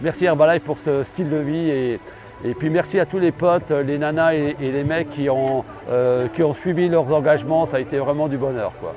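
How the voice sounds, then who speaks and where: A man talks at a fairly high pitch with fairly even intonation. Music can be heard in the background. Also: moderate pace. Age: 60s. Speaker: triathlon participant. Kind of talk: testimony.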